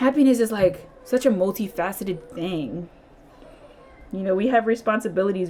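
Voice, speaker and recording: A woman speaks at a fairly quick pace with a Philadelphia accent, her pitch medium and its variation ordinary. Noticeable background noise runs underneath. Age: 30s. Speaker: tarot reader. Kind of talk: tarot reading to camera. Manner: casual, chatty.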